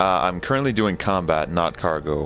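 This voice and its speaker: The speech moves at a moderate pace with lively intonation. Noticeable background noise sits behind it. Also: man. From Canada. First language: French. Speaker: video game streamer. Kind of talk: live gameplay stream chat. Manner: halting, many fillers.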